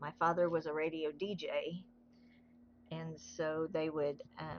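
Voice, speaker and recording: Slowish and fairly even in intonation, a woman with a very deep, low voice speaks in a Southern US accent. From US South. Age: 60s. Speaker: craft livestreamer. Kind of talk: casual chat. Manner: relaxed.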